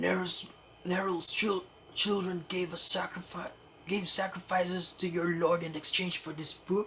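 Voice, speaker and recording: A raspy put-on character voice at middle pitch and moderate pace. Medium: game stream.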